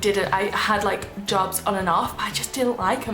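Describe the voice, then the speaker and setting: Fairly even intonation comes through amid noticeable background noise and audible room echo. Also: woman. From northern England, Manchester. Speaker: beauty vlogger. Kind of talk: personal vlog monologue. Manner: casual, rambling with fillers.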